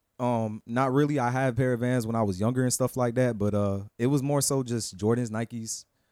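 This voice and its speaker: A man speaks at a moderate pace and a medium pitch. The recording is very clean, with a silent background. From South Florida, Broward County. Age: 20s. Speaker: freelance model. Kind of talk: casual chat.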